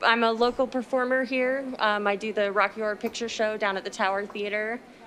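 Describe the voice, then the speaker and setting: Against noticeable background noise, a woman with an American accent talks at a fairly quick pace, her fairly high voice monotone and flat. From Utah, Salt Lake area. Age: 30s. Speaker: actress and illustrator. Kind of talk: casual chat. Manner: hesitant, many fillers.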